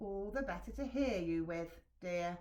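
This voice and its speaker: A put-on character voice with a growl, pitched in the middle range and delivered at a moderate pace. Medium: read story. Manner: growling.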